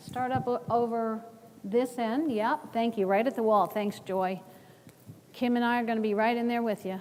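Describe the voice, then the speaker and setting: At a moderate pace, a woman with a plain, everyday voice and an American accent speaks at a fairly high pitch with fairly even intonation. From US North. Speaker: workshop presenter. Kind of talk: conference workshop.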